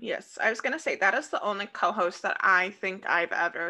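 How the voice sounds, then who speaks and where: A woman speaks with an American accent. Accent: Midwestern American, sometimes thick. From Iowa, US Midwest (Des Moines). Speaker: podcast co-host. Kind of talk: casual chat. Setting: home recording.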